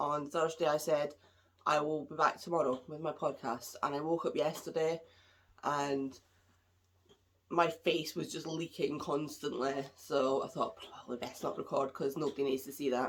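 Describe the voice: A woman's low, nasal voice at a moderate pace, with little pitch movement.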